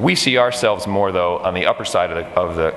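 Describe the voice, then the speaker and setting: Background noise is noticeable and room echo is audible while a man talks. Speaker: steel company founder, conference speaker. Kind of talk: conference talk. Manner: fast; animated.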